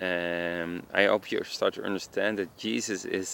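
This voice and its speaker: This man has a very deep, low voice with a strong Dutch accent. He talks at a fairly slow pace with ordinary pitch variation. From Netherlands. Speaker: evangelist vlogger. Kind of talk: informal religious talk. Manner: halting, many fillers.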